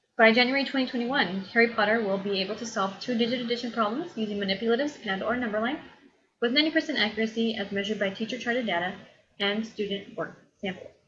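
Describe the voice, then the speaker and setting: A woman talks very fast at a fairly high pitch with ordinary pitch variation, and room echo is audible. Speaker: college instructor. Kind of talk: lecture.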